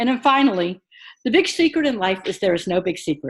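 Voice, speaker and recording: A plain, everyday voice with lively intonation at a fairly quick pace, on a very clean recording with a silent background. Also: woman. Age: 50s. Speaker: online course instructor. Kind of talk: recorded course announcement. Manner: casual, encouraging.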